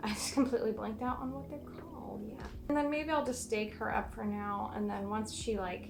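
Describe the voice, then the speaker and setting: A woman mumbles softly at a fairly quick pace, barely pausing. Music plays in the background, and the room echo is audible. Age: 20s. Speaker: plant content creator. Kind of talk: casual chat. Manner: soft-spoken; mumbling. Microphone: poor mic, camera far away.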